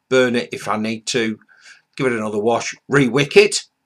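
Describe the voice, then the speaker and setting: In a British accent, a man talks at a moderate pace and medium pitch with ordinary pitch variation. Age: 60s. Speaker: vaping reviewer, retired ex-military. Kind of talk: casual vlog introduction. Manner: hesitant, many fillers.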